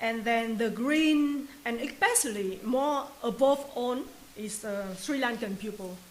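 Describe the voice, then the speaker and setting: The speaker has a Vietnamese accent and talks at a fairly slow pace. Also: woman. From Vietnam, Hanoi. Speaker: new resident telling migration story. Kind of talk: testimony. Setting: office. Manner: halting.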